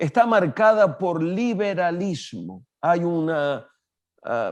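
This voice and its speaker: A man's high-pitched voice with lively intonation at a very slow pace, over a quiet background. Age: 70s. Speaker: pastor and international speaker. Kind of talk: interview.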